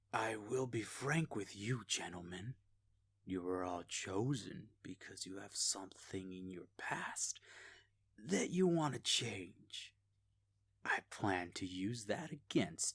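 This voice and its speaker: Putting on a character voice, a man talks at a fairly slow pace with a fairly low pitch. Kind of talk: formal, commanding. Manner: menacing, villainous.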